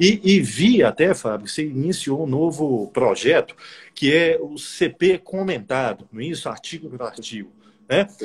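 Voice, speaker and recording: The pitch leaps and plunges dramatically, with vocal fry throughout. Delivery runs at a fairly slow pace. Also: man, fairly high pitch for a man, big swings in loudness. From Brazil, Bahia (Salvador). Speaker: law professor and prosecutor, interviewer. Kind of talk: casual interview on a live stream. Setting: Instagram live stream.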